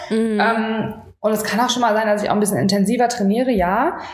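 A woman talks at a very fast pace. Noticeable background noise and audible room echo fill the recording. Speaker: fitness podcast co-host. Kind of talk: casual chat. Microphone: no microphone, defective adapter.

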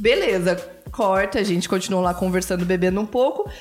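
A woman talks over noticeable background noise. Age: 30s. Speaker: podcast co-host. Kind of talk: casual chat.

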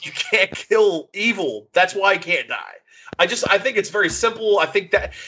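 A man's high-pitched voice at a moderate pace. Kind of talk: casual chat. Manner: halting.

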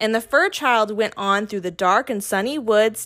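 Fairly high in pitch, a woman speaks in a soothing, playful tone with lively intonation at a moderate pace. The recording is very clean, with a silent background. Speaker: reader of a children's picture book. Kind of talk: bedtime story read aloud, gentle storybook narration taking turns with another reader.

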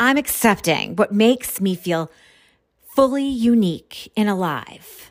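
In a very clean recording with a silent background, a woman speaks fairly slowly at a fairly high pitch, her tone animated and her intonation lively. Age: 50s. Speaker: life coach. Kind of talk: solo podcast monologue; guided tapping exercise. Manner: loud, animated.

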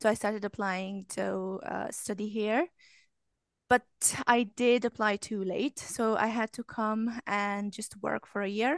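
In a Romanian accent, a woman speaks at a fairly high pitch and a fairly slow pace. The background is quiet, and the sound is dry and close with no echo. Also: fairly even intonation. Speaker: English language coach. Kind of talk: casual chat.

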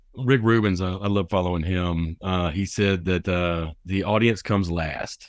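A man speaks in a very deep, low pitch with a Southern US accent. He hardly pauses at all. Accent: Southern US drawl. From US South. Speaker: radio host. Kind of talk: radio interview show. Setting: studio. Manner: animated, joking.

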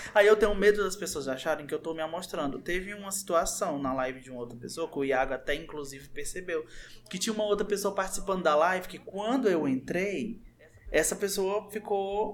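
A man speaks in a high voice at a fairly quick pace. There is noticeable background noise. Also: lively intonation. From born in Brazil's Southeast, identifies as northeastern. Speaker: youtuber. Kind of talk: casual chat.

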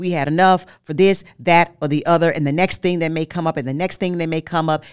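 This woman has a normal speaking voice, fairly low in pitch with ordinary pitch variation, on a very clean recording with a silent background. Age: 50s. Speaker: marriage podcast co-host. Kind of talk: casual chat.

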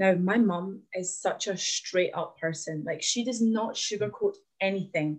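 Somewhat breathy, a woman with a Glaswegian accent talks at a fairly slow pace and medium pitch with ordinary pitch variation. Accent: Glaswegian Scottish. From Glasgow, Scotland (born in Latvia, moved at nine). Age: 20s. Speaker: podcast guest sharing fitness story. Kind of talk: casual interview chat, personal story.

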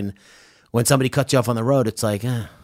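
A man with a New York accent talks at a medium pitch and with fairly even intonation on a very clean recording with a silent background. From Long Island, New York. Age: 30s. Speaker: podcast host. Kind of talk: casual chat.

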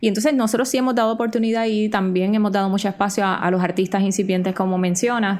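Speaking at a very fast pace with hardly any pauses, a woman with a Puerto Rican accent keeps a medium pitch, very even loudness and fairly even intonation. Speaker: journalist and podcast co-host. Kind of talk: casual chat.

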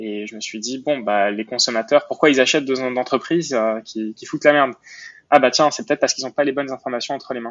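A man speaks at a fairly quick pace with a medium pitch. His intonation is fairly even, but his loudness swings widely. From Montreal, Quebec. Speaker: entrepreneur. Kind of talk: interview. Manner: halting, frequent repetitions and fillers.

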